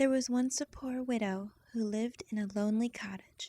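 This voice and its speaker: A woman with a fairly high voice speaks at a fairly slow pace in a somewhat breathy, dark and mellow tone, with fairly even intonation and a dry, close sound with no echo. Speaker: voice actress. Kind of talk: bedtime story reading.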